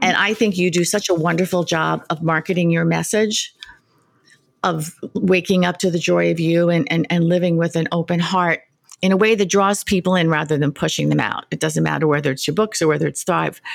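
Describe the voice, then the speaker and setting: A woman at a fairly quick pace, with fairly even intonation and very even loudness. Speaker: podcast host. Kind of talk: interview podcast chat.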